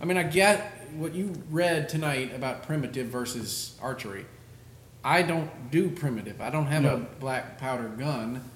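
Noticeable background noise sits behind a man speaking with a fairly high pitch. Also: ordinary pitch variation, moderate pace. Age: 40s. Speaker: hunting podcast host. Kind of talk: casual chat.

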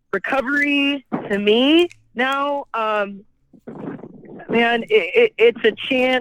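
Her intonation rises and falls in a lively way. This woman's pace is very slow. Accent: American. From California. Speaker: person in addiction recovery. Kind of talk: personal testimony.

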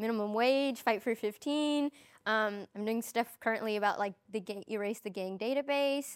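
A woman speaks in an unremarkable speaking voice, fairly high in pitch with ordinary pitch variation. Her pace is moderate, and the recording is very clean with a silent background. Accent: American. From Chicago South Side. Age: 20s. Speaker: community organizer. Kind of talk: panel discussion. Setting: studio.

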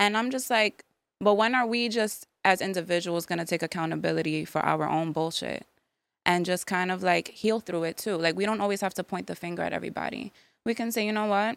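A woman speaks at a fairly quick pace with a New York accent. The recording is very clean, with a silent background. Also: medium pitch for a woman, ordinary pitch variation. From New York, the Bronx. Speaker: speech therapist and podcast host. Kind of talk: casual chat.

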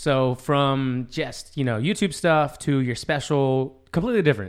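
On a very clean recording with a silent background, a man with an unremarkable speaking voice talks at a moderate pace, with a fairly high pitch and ordinary pitch variation. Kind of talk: casual chat.

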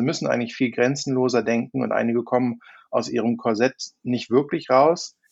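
An ordinary speaking voice from a man, medium in pitch with ordinary pitch variation, at a moderate pace. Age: 40s. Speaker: insurance digital expert, podcast co-host. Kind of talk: casual chat.

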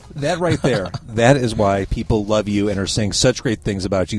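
Neither hurried nor slow, the delivery is an ordinary speaking voice. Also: man. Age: 40s. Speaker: podcast host. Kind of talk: casual interview. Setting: parked car.

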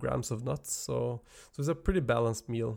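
This man talks at a moderate pace in a medium pitch, with ordinary pitch variation and a Norwegian accent. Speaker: podcast host, nutrition coach. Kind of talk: educational monologue. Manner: halting, many fillers.

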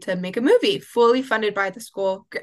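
An ordinary speaking voice from a woman with an American accent, at a moderate pace with fairly even intonation. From Oklahoma. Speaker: media arts student. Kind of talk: casual chat.

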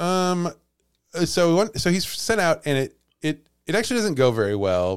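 A man's high-pitched voice with very wide pitch swings, very even loudness, and a moderate pace, in a very clean recording over a silent background. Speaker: podcast host and storyteller. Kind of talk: casual chat with storytelling.

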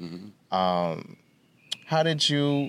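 A man with a Bahamian accent speaks at a fairly high pitch. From the Bahamas. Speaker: podcast host. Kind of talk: casual interview chat.

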